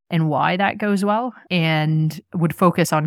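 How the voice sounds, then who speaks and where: A woman speaks with a Canadian accent. The sound is dry and close, with no echo. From Canada, Nova Scotia. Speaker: emergency physician. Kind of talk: interview.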